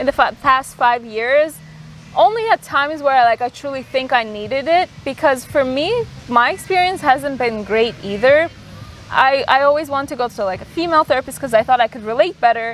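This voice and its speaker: A woman speaks in a high pitch at a fairly quick pace with lively intonation. Noticeable background noise sits behind her. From immigrant to the US, arrived at age ten. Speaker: podcast host. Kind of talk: casual chat. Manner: hesitant, many fillers.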